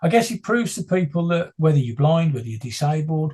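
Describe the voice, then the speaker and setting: A somewhat breathy, dark and mellow male voice, fairly high in pitch with ordinary pitch variation, at a fairly quick pace. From West Midlands, England (West Bromwich). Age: 60s. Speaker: blind runner and motivational speaker. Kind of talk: interview.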